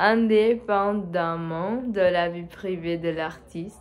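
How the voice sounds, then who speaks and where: With audible room echo, a woman with a non-native accent speaks at a fairly low pitch with fairly even intonation. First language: not French (speaking French). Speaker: French learner vlogger. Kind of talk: solo monologue for language practice. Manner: halting, many hesitations.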